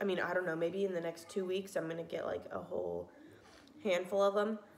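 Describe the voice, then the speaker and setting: A woman talks at a medium pitch while noticeable background noise carries on. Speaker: pregnancy vlogger. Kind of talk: casual talk to camera.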